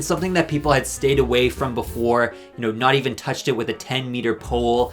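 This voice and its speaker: A man's voice sits at a medium pitch while music plays behind him. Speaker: drag race commentary youtuber. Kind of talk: casual commentary to camera.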